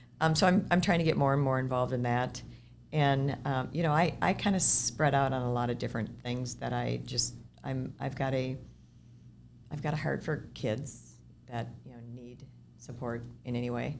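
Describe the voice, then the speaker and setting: In an American accent, a woman speaks at a moderate pace with a very deep, low pitch, vocal fry and ordinary pitch variation, and there is audible room echo. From Minnesota, US. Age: 60s. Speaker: senior housing developer. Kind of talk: podcast interview. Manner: conversational, with false starts and repetitions.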